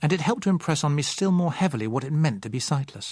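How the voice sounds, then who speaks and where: On a very clean recording with a silent background, a man speaks at a fairly high pitch and fairly quick pace, sounding somewhat breathy. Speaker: audiobook narrator. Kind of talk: audiobook reading.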